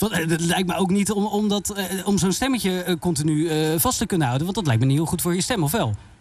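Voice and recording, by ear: At a fast pace, a man speaks in a high pitch with ordinary pitch variation and a slightly mellow tone.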